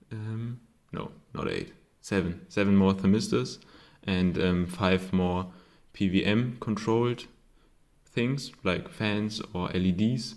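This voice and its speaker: Very slow speech in a German accent, with long, frequent pauses and ordinary pitch variation. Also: man, fairly low pitch for a man. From Germany. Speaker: hobbyist electronics maker. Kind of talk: casual tutorial. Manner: halting, many fillers.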